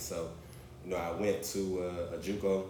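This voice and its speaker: With an American accent, a man speaks in a very deep, low, somewhat breathy voice, with audible room echo around him. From US South, Orangeburg, South Carolina. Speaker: entrepreneur, former college athlete. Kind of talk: casual interview, personal story.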